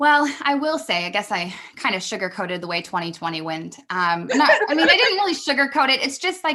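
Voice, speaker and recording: Raising and projecting her high voice, a woman speaks at a fairly quick pace with hardly any pauses, her tone bright and sharp and her pitch swinging very widely. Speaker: business mentor. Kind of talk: podcast interview. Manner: fast; conversational, hesitant fillers.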